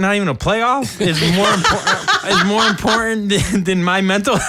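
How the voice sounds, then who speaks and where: A man uses a raised, projected voice at a high pitch, with very even loudness and ordinary pitch variation. Noticeable background noise is present. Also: hardly any pauses. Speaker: podcast co-host. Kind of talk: casual chat.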